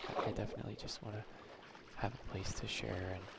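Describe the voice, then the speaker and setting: A soft-spoken man talks at a moderate pace with a fairly low pitch, and there is noticeable background noise. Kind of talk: gameplay commentary, video journal.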